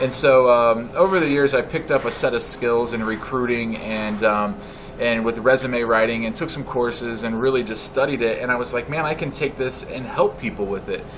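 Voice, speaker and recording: A man with an American accent and a medium pitch talks with hardly any pauses against noticeable background noise. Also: ordinary pitch variation, fairly quick pace. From central Illinois, US Midwest. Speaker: resume writer and recruiter, business owner. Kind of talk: interview. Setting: coffeehouse.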